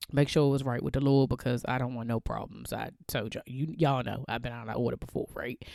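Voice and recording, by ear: Fast speech from a woman with an extremely low pitch, vocal fry, a slightly mellow tone and fairly even intonation, in a very clean recording with a silent background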